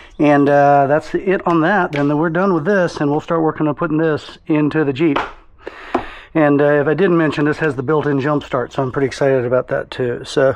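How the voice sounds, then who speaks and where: A man talks at a fairly quick pace in a fairly high voice, with fairly even intonation and very even loudness. Noticeable background noise is present. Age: 60s. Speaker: DIY vehicle vlogger. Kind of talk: tutorial. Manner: casual, filler-heavy.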